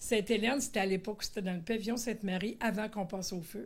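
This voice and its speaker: Medium pitch and fairly even intonation in a woman's voice. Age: 60s. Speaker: retired special educator. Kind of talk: testimony. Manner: halting, many hesitations.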